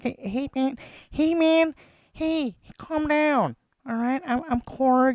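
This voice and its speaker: A man speaks softly in a put-on character voice, pitched extremely high. His pace is very slow, with long pauses coming often. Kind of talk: casual. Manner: soft, gentle, calming.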